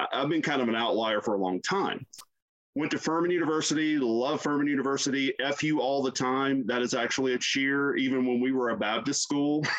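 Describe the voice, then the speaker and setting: A man speaks in a Southern US accent at a moderate pace. His pitch varies in an ordinary way, and his loudness stays very even. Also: medium pitch for a man. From US South, South Carolina. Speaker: university chaplain. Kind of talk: casual interview.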